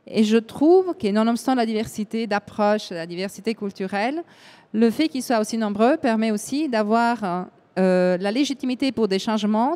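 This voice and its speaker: With an Italian accent, a woman speaks at a moderate pace in a fairly high pitch, her dark, mellow tone and lively intonation caught in a dry, close sound with no echo. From Italy. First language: Italian (speaking French). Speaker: EU affairs event organizer. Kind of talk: panel discussion. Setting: live broadcast round table. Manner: hesitant, with fillers.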